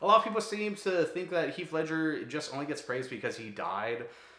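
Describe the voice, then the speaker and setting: A man with an American accent talks with ordinary pitch variation, over noticeable background noise and with audible room echo. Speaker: YouTuber, film reviewer. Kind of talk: casual vlog monologue. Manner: fast; casual, filler-heavy.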